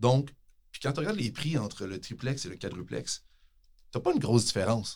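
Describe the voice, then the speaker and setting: A man speaks at a fairly quick pace but takes long, frequent pauses. His voice is somewhat breathy and medium in pitch, with lively intonation and big swings in loudness. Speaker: tax specialist and professor. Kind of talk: casual interview. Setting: studio.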